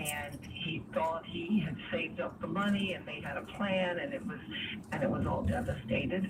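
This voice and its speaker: A woman with a fairly low voice speaks in very wide pitch swings, with audible room echo and noticeable background noise. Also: moderate pace. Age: 60s. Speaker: caller. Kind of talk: call-in radio advice.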